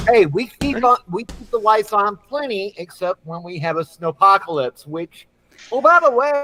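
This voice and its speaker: Over music in the background, a man with an American accent uses a raised, projected voice at a high pitch, speaking at a moderate pace with very wide pitch swings and big swings in loudness, recorded dry and close with no echo. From Texas. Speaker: veteran podcast panelist. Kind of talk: casual chat. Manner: animated.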